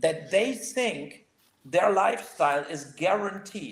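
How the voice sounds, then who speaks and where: A man speaks with a German accent and lively intonation. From Germany. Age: 60s. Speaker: podcast co-host. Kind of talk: casual chat. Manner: halting.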